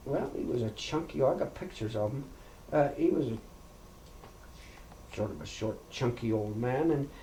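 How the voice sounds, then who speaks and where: A man talks while noticeable background noise is present. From Princeton, BC, Canada. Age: 70s. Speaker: oral history interviewee. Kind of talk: oral history interview. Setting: farmhouse. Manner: halting.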